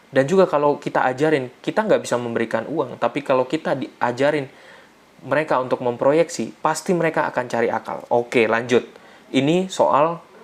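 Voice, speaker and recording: A man's ordinary speaking voice at a fairly quick pace, with ordinary pitch variation. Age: 30s. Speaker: financial literacy educator. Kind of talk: online seminar talk. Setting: live online session with chat. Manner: casual, conversational.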